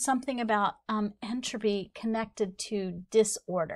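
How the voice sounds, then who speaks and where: With a quiet background, a woman speaks at a fairly slow pace. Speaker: instructor. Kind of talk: lecture. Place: studio.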